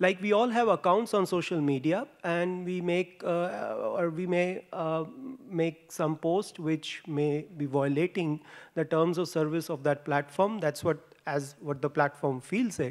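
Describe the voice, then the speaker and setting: A man with an Indian accent and a high pitch speaks at a fairly slow pace with ordinary pitch variation, on a very clean recording with a silent background. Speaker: postdoctoral researcher. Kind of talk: conference talk. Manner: halting, many fillers.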